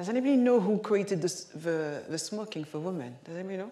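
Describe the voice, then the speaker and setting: Talking at a very fast pace in a French accent, a woman at medium pitch sounds animated with lively intonation, amid noticeable background noise and audible room echo. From Paris, France. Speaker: keynote speaker. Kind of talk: keynote talk. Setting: stage with audience.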